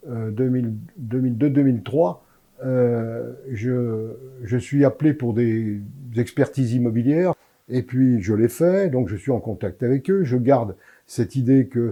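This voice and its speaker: A man talks at a fairly slow pace in a dark, mellow tone. His pitch is medium, with ordinary variation. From France, Lyon (Croix-Rousse). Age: 80s+. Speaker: former association volunteer. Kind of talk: interview testimony. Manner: halting.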